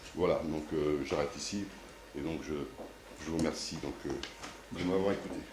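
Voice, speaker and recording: Room echo is audible and background noise is noticeable. The intonation stays fairly even, broken by long, frequent pauses. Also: man, very deep, low pitch for a man, moderate pace. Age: 60s. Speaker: mayor and local councillor. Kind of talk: candidate speech at council meeting. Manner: halting, many hesitations.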